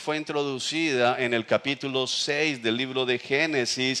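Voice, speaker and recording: Ordinary pitch variation marks a man's speech. He talks at a fairly slow pace with a fairly high pitch. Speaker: pastor. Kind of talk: sermon.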